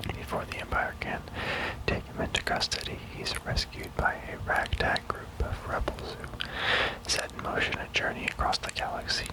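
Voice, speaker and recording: A man whispers at a moderate pace. Noticeable background noise is present. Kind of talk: ASMR gaming ramble. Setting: binaural audio. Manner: whispered, soft-spoken.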